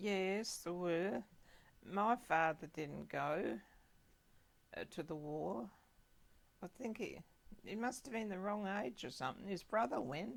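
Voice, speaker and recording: A woman's fairly slow, lively-intoned speech with vocal fry and long, frequent pauses. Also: medium pitch for a woman. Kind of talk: oral history interview answer.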